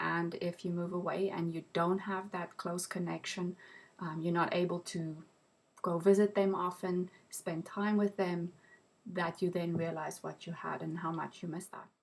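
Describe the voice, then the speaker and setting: A woman talks at a moderate pace. Her fairly low voice stays monotone and flat. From South Africa (Pretoria). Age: 40s. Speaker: interviewee. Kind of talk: interview. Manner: hesitant, many ums.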